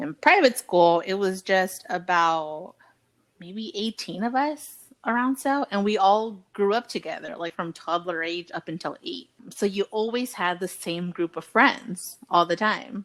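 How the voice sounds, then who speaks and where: Recorded cleanly against a silent background with a dry, close sound and no echo, a woman with a medium-pitched voice speaks at a fairly slow pace with lively intonation in a Spanish accent. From US, Mexican-American family. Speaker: podcast co-host. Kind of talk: casual chat. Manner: casual, conversational.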